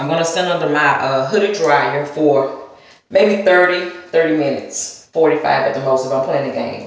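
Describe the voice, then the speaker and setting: A woman's very deep, low voice with a Southern US accent, ordinary pitch variation and a moderate pace. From US South. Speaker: hair vlogger. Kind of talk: casual vlog demonstration. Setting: at home in front of a mirror. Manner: chatty, rambling.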